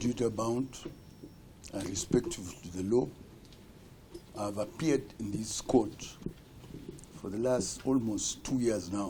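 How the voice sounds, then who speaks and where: With long, frequent pauses, a man at medium pitch speaks in a dark, mellow tone, somewhat breathy, with ordinary pitch variation. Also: fairly slow pace. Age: 70s. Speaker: accused person testifying in court. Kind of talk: court testimony. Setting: courtroom.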